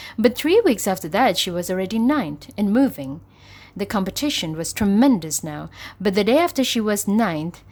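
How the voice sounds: The speaker reads in a natural way.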